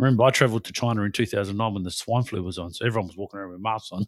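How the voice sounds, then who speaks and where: Recorded very cleanly against a silent background, a man with an Australian accent talks at a very fast pace in a fairly low pitch with ordinary pitch variation. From Western Australia. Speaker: podcast co-host. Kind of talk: casual political chat.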